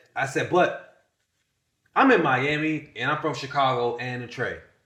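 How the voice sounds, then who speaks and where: Audible room echo surrounds this man's voice. His pitch is fairly high, and his tone is bright and sharp. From US South, Winston-Salem, North Carolina. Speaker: content creator, podcast guest. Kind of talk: casual interview storytelling. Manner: animated.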